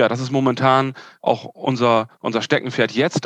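A man with a normal speaking voice speaks at a medium pitch and a moderate pace. His intonation is fairly even, and the sound is dry and close with no echo. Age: 40s. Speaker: yacht sales manager. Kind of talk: interview.

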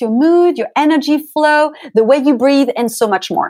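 Speaking with a French accent, a woman uses a high-pitched voice. Her intonation is lively. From France, Paris. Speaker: pilates instructor and beauty coach. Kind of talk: interview.

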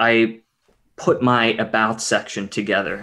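Over a very clean, silent background, a man with a medium pitch and an American accent speaks very slowly. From Pittsburgh, Western Pennsylvania. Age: 40s. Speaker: physical therapist. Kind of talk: casual interview.

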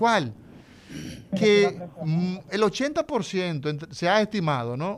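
A man with a high voice, very wide pitch swings, a very slow pace, and long, frequent pauses. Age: 40s. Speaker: neurosurgeon. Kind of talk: radio health talk.

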